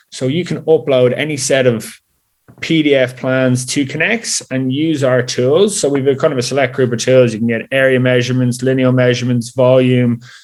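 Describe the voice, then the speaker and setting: A man with an Irish accent talks at a medium pitch with fairly even intonation. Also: moderate pace. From Ireland, Dublin. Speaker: software company executive. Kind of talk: interview.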